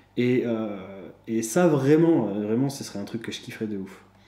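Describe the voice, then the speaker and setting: Dark, mellow tone from a man at medium pitch, with ordinary pitch variation, a moderate pace, and audible room echo. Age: 20s. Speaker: YouTuber, personal finance vlogger. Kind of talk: casual monologue vlog. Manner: hesitant, many fillers and repetitions.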